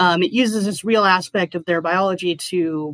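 A woman's plain, everyday voice at a medium pitch, moderate in pace with fairly even intonation, dry and close with no echo. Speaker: podcast guest discussing a video game special interest. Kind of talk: casual interview.

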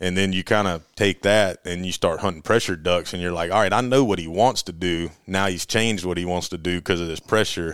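In an Alabama accent, a man with a very deep, low pitch talks at a fairly quick pace with hardly any pauses and fairly even intonation, on a very clean recording with a silent background. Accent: Southern US (Alabama). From Alabama, US South. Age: 20s. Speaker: duck hunter and dog trainer. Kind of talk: casual chat.

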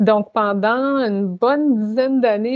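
A woman speaks fairly slowly in a plain, everyday voice. Her pitch is fairly high and her intonation fairly even. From Ontario, Canada. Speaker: university administrator. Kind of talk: interview. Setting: video call.

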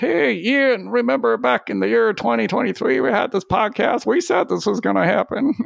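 A man uses a put-on character voice pitched high, over light background noise. His pace is moderate, with hardly any pauses.

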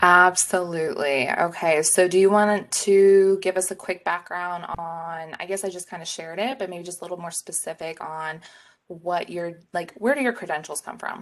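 A woman with an American accent talks in a fairly low pitch and an ordinary speaking voice, at a moderate pace with hardly any pauses. Her intonation is fairly even, her loudness swings widely, and the background is quiet. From Texas. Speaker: podcast co-host, insurance sales rep. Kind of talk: casual chat.

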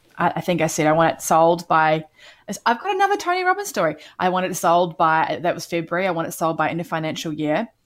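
At a very fast pace, a woman with a slight New Zealand accent talks in a fairly low pitch with monotone, flat intonation. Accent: mild New Zealand. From New Zealand, Canterbury. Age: 30s. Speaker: business coach. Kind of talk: casual interview.

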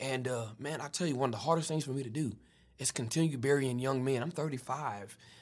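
A man with an American accent at medium pitch and a very fast pace, ordinary pitch variation, in a very clean recording with a silent background. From Kansas. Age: 30s. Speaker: pastor. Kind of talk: casual interview.

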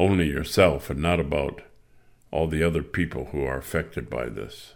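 A man with an American accent talks at a moderate pace in a very deep, low pitch with vocal fry, ordinary pitch variation, and long, frequent pauses. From US Midwest (Michigan). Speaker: podcast host and singer. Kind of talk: solo monologue on environment.

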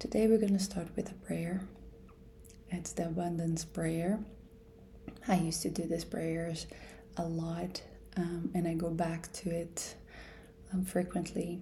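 Speech in a Portuguese accent comes at a fairly slow pace, broken by long, frequent pauses. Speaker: meditation teacher. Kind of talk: guided meditation.

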